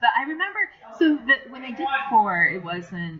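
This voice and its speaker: A woman with an American accent speaks at a moderate pace, her pitch swinging very widely. Music plays in the background. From Japan (grew up in Tokyo), lives in US. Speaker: voice actress. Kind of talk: interview answer.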